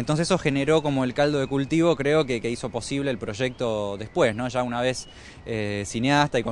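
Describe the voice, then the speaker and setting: Fairly quick speech from a man comes across with a dry sound, no echo, and light background noise. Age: 30s. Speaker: documentary filmmaker. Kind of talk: interview. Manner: halting. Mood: calm, reflective. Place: street. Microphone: handheld.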